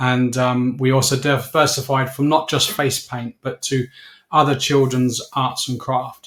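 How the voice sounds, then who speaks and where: The speaker is a man. His words carry a southern English accent. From southern England (Slough). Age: 60s. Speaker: business owner. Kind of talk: interview. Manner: hesitant, many fillers.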